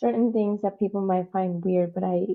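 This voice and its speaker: A woman with a slight non-native accent talks at a fairly quick pace in a medium-pitched voice. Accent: slight non-native, barely noticeable. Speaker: community advocate. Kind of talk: interview. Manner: casual, filler-heavy.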